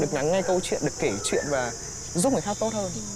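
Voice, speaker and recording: Amid noticeable background noise, a man talks at a very fast pace with high pitch and lively intonation. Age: 20s. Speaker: recent graduate and stage performer. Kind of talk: casual interview.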